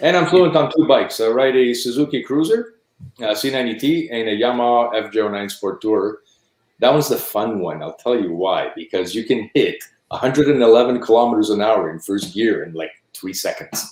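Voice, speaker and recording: A man speaks at a medium pitch and a fairly quick pace, his intonation lively and his loudness swinging widely. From Montreal, Quebec, Canada, Italian-speaking home. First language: Italian. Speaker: motorcycle rider, guest on a live stream. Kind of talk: casual chat.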